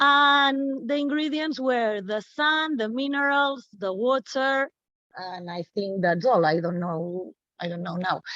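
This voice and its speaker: Very wide pitch swings mark this fairly slow delivery. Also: woman, high pitch for a woman. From Catalonia, Barcelona. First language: Catalan/Spanish. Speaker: teacher. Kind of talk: casual chat. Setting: video call. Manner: halting.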